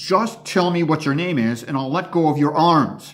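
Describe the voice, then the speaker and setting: Putting on a character voice, a man growls in a raised, projected voice at a fairly high pitch and a moderate pace. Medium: read story. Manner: demanding, menacing.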